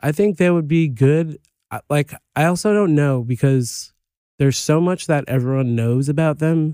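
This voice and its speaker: Here a man speaks at a fairly slow pace in a plain, everyday voice with a fairly high pitch and ordinary pitch variation. The sound is dry and close, with no echo. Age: 30s. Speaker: podcast co-host and meme maker. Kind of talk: casual chat. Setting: studio.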